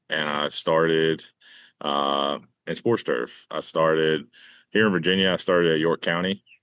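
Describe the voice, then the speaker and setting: In a Southern US accent, a man with a very deep, low voice speaks at a moderate pace with fairly even intonation. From North Carolina. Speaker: baseball groundskeeper. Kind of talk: casual interview. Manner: halting, many fillers.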